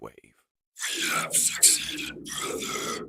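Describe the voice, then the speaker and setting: Using an extremely high pitch, a man puts on a character voice. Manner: cold, measured.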